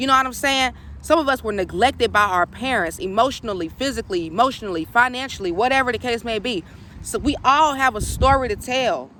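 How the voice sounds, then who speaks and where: Very fast and bright, a woman with fairly high pitch speaks in a sharp tone with lively intonation and vocal fry. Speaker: spiritual coach. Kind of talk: casual vlog monologue.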